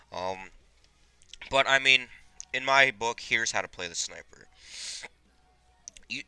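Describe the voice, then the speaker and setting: The man's tone is bright and sharp. His intonation is lively. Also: dry, close sound with no echo. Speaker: gaming video creator. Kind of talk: gameplay commentary. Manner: chewing gum while talking.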